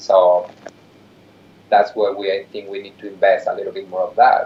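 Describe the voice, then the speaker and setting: A man's voice swings widely in loudness over noticeable background noise. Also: moderate pace. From Mexico, big city. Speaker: nonprofit executive director. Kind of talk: interview conversation.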